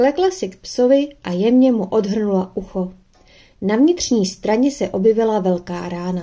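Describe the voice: Reading aloud, plainly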